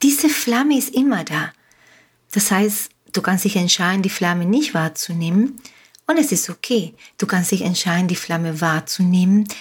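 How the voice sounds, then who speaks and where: With a Spanish accent, a woman speaks at a medium pitch in a somewhat breathy voice with lively intonation. She keeps a moderate pace broken by long, frequent pauses. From Uruguay. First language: Spanish (speaking German). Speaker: life coach. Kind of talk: motivational podcast monologue. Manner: animated.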